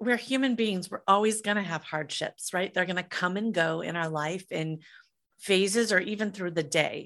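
A normal speaking voice with an American accent, at a moderate pace with lively intonation, over a quiet background. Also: woman. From US Midwest (Iowa). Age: 50s. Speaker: entrepreneur, musician and author. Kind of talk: casual interview chat.

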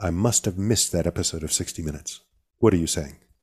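The recording is very clean, with a silent background. A man with a dark, mellow tone talks at a fairly quick pace, his pitch varying in an ordinary way. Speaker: podcast producer. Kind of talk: casual chat. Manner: animated.

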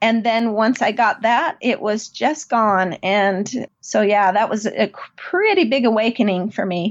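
At a fairly slow pace and very even loudness, a woman with an American accent speaks in an unremarkable speaking voice, fairly high in pitch with ordinary pitch variation. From US, southeast Idaho. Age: 50s. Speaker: homeschooling mother and math curriculum creator. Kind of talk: interview.

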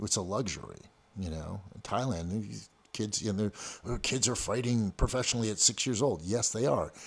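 A man with a fairly low pitch talks fairly quickly, his pitch rising and falling to a typical degree. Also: very clean recording, silent background. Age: 50s. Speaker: martial arts coach and gym owner. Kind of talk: casual interview. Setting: in-person studio interview. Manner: halting, many repeated words.

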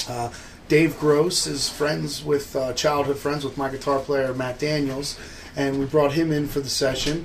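Over noticeable background noise, a man with an American accent speaks slowly-ish, at a fairly slow pace, in a fairly high pitch with monotone, flat intonation. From New Jersey, Trenton. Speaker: blues harmonica player and bandleader. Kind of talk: interview.

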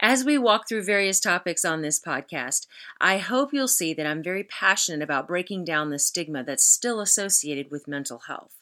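A woman with an American accent at a fairly low pitch, bright and sharp in tone, moderately paced with hardly any pauses and very wide pitch swings, on a very clean recording with a silent background. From Texas. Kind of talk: solo podcast monologue.

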